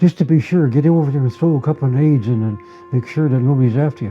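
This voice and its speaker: A man with a Canadian Prairie accent at a very fast pace, music in the background. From Winnipeg, Canada. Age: 80s+. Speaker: war veteran. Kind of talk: interview answer.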